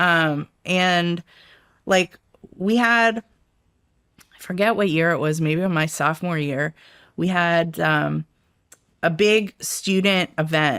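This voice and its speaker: In an American accent, a woman with a fairly low pitch and ordinary pitch variation talks at a very slow pace with long, frequent pauses, on a very clean, dry, close recording with no echo and a silent background. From Washington DC area, early years in Rome. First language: Italian. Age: 50s. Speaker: intelligence expert. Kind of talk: interview. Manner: casual, many fillers.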